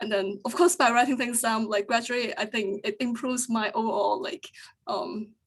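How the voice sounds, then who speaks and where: The speaker is a woman with a fairly high pitch. Her intonation shows ordinary variation. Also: moderate pace. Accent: non-native. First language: not English. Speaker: UX design engineer. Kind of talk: panel discussion. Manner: hesitant, many fillers.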